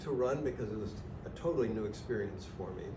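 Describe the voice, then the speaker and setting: Noticeable background noise and audible room echo surround this recording. The speaker is a man with a medium pitch. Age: 70s. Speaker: library trustee. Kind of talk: casual chat. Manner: halting.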